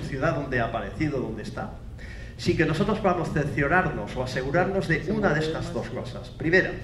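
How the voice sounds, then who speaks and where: Amid noticeable background noise and audible room echo, a man with fairly high pitch talks at a fairly quick pace. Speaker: forensic scientist, university professor. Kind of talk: conference lecture. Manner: fast.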